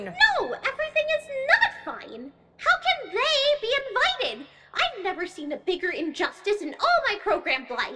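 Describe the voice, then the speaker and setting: A put-on character voice, female-sounding and pitched extremely high, swings very widely in pitch at a moderate pace. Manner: bubbly, indignant, dramatic.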